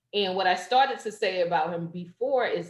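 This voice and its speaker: A woman speaks with an American accent at a medium pitch. Her voice is somewhat breathy, and her pace is moderate. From New Jersey, Jersey City. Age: 40s. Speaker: poetry open mic host. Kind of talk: casual chat. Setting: video call.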